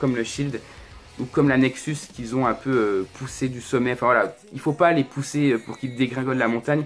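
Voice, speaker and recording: With music in the background, a man of medium pitch talks at a fairly quick pace with fairly even intonation. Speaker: wrestling YouTuber reviewing events. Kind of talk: solo video review, casual commentary. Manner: hesitant, many fillers; fast.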